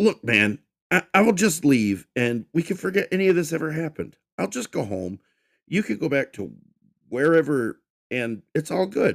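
A man uses a whiny, put-on character voice, fairly high in pitch with very wide swings. He goes at a moderate pace with long, frequent pauses, and the sound is dry and close with no echo. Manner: whining, fearful.

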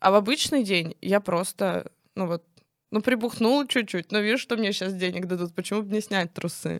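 A woman with a plain, everyday voice and ordinary pitch variation. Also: medium pitch for a woman, moderate pace. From Russia, Nizhny Novgorod region (Kstovo). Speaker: stripper. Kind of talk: casual chat.

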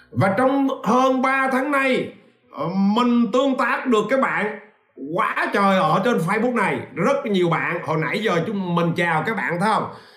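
Audible room echo and noticeable background noise surround a man's high-pitched voice. He speaks at a fairly slow pace with lively intonation and very even loudness. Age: 40s. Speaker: business coach. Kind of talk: livestream talk. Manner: animated.

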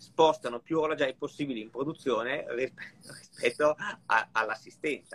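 Recorded dry and close with no echo, a man with a plain, everyday voice speaks at a moderate pace in a fairly high pitch and fairly even intonation. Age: 50s. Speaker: watch collector. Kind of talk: casual live chat.

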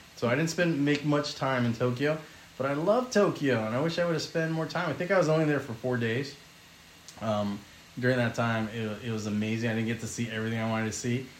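A man at a very fast pace, ordinary pitch variation, noticeable background noise behind him. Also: medium pitch for a man. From California. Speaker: podcast guest. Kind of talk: casual chat.

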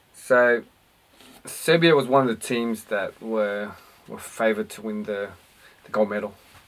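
A man speaks with an Australian accent and big swings in loudness. He leaves long, frequent pauses. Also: medium pitch for a man, ordinary pitch variation, moderate pace. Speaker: basketball podcast co-host. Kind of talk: casual sports chat. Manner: halting, repetitive.

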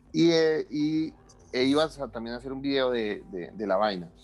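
The delivery comes at a fairly slow pace with lively intonation. It is an unremarkable speaking voice. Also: man. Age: 30s. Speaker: electronic musician. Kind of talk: interview.

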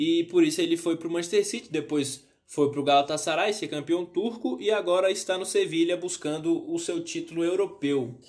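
The man's pitch is high. He speaks fairly quickly. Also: ordinary pitch variation. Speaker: sports youtuber. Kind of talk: football analysis monologue. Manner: halting, many fillers.

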